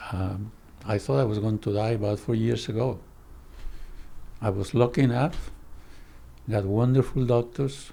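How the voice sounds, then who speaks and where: A man's somewhat breathy, medium-pitched voice with a Spanish accent, dark, mellow tone and fairly slow pace. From Colombia. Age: 90s. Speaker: psychoanalyst. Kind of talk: interview conversation.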